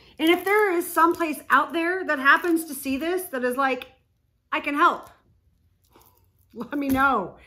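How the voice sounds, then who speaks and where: A woman with an American accent speaks in a raised, projected voice at a high pitch, with a bright, sharp tone and an animated delivery. Her pace is fairly slow, with long, frequent pauses and ordinary pitch variation. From Texas. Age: 40s. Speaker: spiritual vlogger. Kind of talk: casual vlog monologue.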